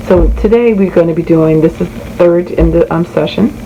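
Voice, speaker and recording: A woman speaks at a fairly quick pace amid noticeable background noise. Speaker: bible study content creator. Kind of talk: tutorial. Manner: casual, with fillers.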